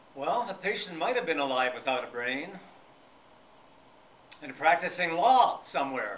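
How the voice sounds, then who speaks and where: With noticeable background noise behind him, a man talks at a moderate pace and high pitch, his pitch swinging very widely, with long, frequent pauses. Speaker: psychotherapist and speaker. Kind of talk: public lecture.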